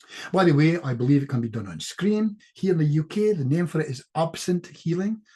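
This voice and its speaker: In a Scottish accent, a man speaks with a dark, mellow tone, somewhat breathy, and lively intonation. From Scotland. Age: 70s. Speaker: clinical hypnotist. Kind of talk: casual chat. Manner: fast.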